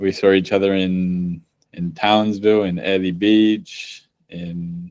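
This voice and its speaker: A man speaks at a very slow pace in a very deep, low voice with flat, monotone intonation, recorded very cleanly against a silent background. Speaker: podcast host. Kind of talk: casual chat.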